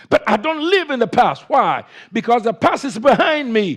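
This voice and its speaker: With an African accent, a man speaks at a moderate pace using lively intonation. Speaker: pastor. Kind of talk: sermon.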